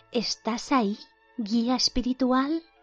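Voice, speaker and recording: In a shaky put-on character voice, someone speaks at a fairly slow pace with faint music in the background. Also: female-sounding voice, high pitch for a woman. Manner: mock-mystical.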